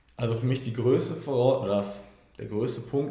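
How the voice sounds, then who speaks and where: A man speaks at a moderate pace and medium pitch, his tone dark, mellow and somewhat breathy, with audible room echo. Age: 20s. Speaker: team member of a coaching business. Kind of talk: casual interview.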